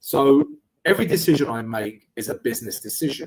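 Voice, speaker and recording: In a strong London accent, the speaker moves at a moderate pace with lively intonation. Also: man. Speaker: trading educator and live streamer. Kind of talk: live trading stream with chat Q&A. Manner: casual, conversational.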